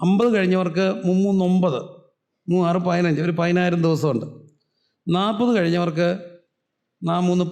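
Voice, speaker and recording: Audible room echo colors the high-pitched voice of a man. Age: 40s. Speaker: pastor. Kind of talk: sermon. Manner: animated.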